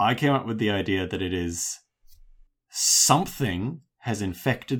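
Slow-ish and with an Australian accent, the speaker shows ordinary pitch variation on a very clean recording with a silent background. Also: man. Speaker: podcast co-host. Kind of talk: casual chat; show outro.

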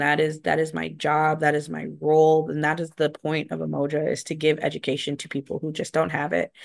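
With an American accent, a woman talks at a fairly quick pace against a quiet background. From rural Wisconsin. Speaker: program director. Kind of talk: interview. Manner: frequent filler words.

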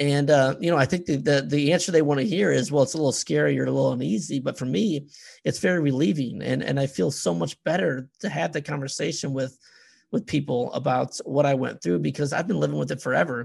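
Over a quiet background, a man talks at a very fast pace with a fairly high pitch, lively intonation and vocal fry. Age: 40s. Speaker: podcast host. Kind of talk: casual chat.

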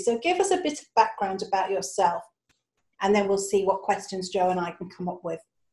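A woman speaks at a fairly quick pace with lively intonation. Her tone is slightly mellow, with a slightly husky edge. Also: medium pitch for a woman.

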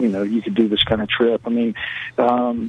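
Noticeable background noise beneath a male voice of medium pitch. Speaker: high school basketball coach. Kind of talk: phone interview, casual. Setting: phone call. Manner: rambling, hesitant with many fillers.

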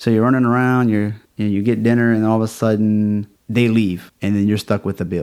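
In a Louisiana accent, a man talks at a fairly quick pace, his fairly low-pitched voice dark and mellow in tone. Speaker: podcast host, chiropractor. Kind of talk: interview conversation.

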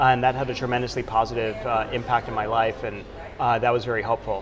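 A man with a medium pitch speaks at a fairly quick pace in flat, monotone intonation while noticeable background noise carries on. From Dominican Republic. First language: Spanish. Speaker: startup executive. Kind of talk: interview. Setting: conference.

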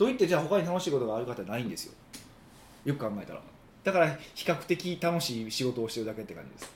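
Noticeable background noise surrounds a man talking very fast at a fairly high pitch with a slight Osaka accent. His pitch swings very widely and his loudness rises and falls sharply. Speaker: business consultant. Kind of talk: casual chat.

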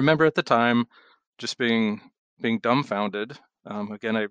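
A man at medium pitch speaks in a Pacific Northwest accent, with a dry, close sound with no echo and a quiet background. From Washington State, Seattle. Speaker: charity director, retired police officer. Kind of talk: interview.

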